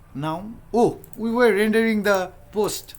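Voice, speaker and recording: A man with a Nepali accent. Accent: South Asian (Nepali) English. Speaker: software developer and tutorial creator. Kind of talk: live coding tutorial. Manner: casual, thinking aloud with fillers.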